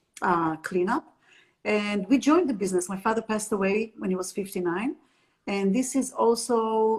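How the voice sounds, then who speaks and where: With an Israeli accent, a woman speaks at a moderate pace in a somewhat breathy voice, her pitch fairly high and her pitch variation ordinary. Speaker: happiness trainer and entrepreneur. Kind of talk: interview.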